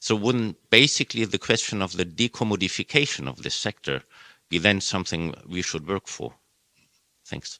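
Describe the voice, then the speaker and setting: In a German accent, a man with a fairly low, bright, sharp voice and some vocal fry speaks at a moderate pace with lively intonation, recorded very cleanly against a silent background in a dry, close sound with no echo. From Germany. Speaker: audience member asking a question. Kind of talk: panel Q&A question. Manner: halting.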